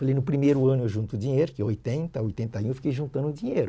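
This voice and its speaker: Somewhat breathy, with a dark, mellow tone. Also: man. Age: 70s. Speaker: dental prosthetics educator. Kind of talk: podcast interview, life story.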